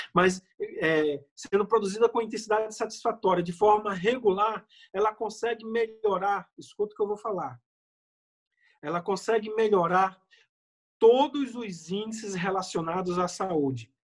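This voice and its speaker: At a fairly slow pace, a man with a high pitch speaks with ordinary pitch variation. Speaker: medical doctor. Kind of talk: health lecture. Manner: animated.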